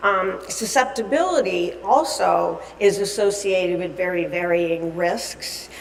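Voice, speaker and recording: A woman speaks at a medium pitch. The recording has audible room echo and noticeable background noise. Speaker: dietitian and conference speaker. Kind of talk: lecture. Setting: conference stage with audience. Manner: loud; halting, many fillers.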